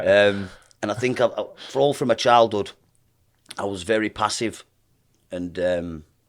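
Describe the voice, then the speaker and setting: A man with a strong Lancashire accent speaks at a moderate pace with a fairly low pitch and ordinary pitch variation. He leaves long, frequent pauses, and the recording is very clean, with a silent background. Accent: thick Lancashire. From northern England, Lancashire (Burnley). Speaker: professional boxer. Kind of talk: podcast interview.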